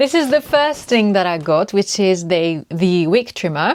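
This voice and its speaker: A woman with a French accent on a very clean recording with a silent background. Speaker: lifestyle vlogger. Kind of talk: casual vlog talk to camera. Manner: halting, searching for words.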